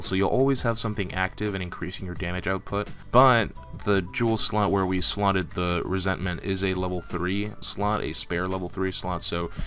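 Over music in the background, a man talks fairly quickly in a very deep, low voice. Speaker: gaming YouTuber. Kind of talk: casual gaming tutorial talk.

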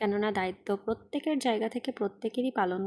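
Captured on a very clean recording with a silent background, a woman speaks at a fairly high pitch in a dark, mellow tone with ordinary pitch variation. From Bangladesh, Khulna. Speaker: vlogger. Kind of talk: casual vlog monologue. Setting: outdoors on a rickshaw in the rain.

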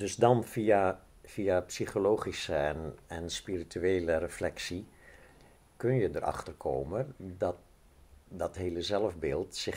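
A man with a very deep, low pitch, ordinary pitch variation and a very slow pace. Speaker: interviewee. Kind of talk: interview answer. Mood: calm, explanatory. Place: open country.

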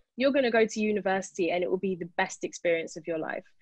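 A woman speaks against a quiet background. The sound is dry, with no echo. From England. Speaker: panelist and co-author. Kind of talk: panel discussion. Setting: video call. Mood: earnest, reflective. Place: home room. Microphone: video call.

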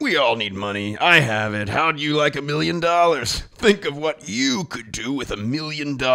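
A man's fairly high voice with lively intonation at a moderate pace. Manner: arrogant, entitled, dramatic.

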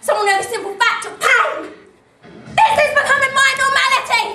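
A woman's raised, projected voice carries at a moderate pace, with audible room echo and light background noise. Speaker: drama student actor. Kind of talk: dramatic theatre monologue. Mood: anguished, intense. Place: stage. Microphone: camera far.

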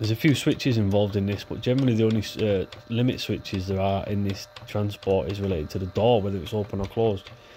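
The speech comes at a very fast pace, with noticeable background noise. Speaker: electronics repair hobbyist video maker. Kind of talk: tutorial. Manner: casual, conversational, with filler words.

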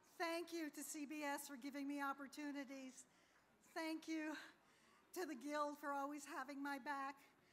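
A woman's high-pitched, monotone, flat delivery at a fairly slow pace. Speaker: award-winning news writer. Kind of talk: brief award acceptance speech. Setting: awards ceremony stage. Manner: gracious, humble, lightly humorous. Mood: grateful, happy. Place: stage. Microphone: podium.

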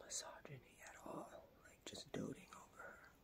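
The speaker is a woman. Her words come out in a whisper. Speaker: vlogger. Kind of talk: whispered ASMR talk to camera about religion and prayer. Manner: whispered, soft. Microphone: phone near.

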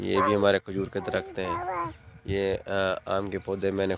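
Very slowly, a man speaks at a fairly low pitch, the sound dry with no echo. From Sindh, Pakistan (Punjabi family). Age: 30s. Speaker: farmer. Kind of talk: farm tour vlog. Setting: outdoors. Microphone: phone near.

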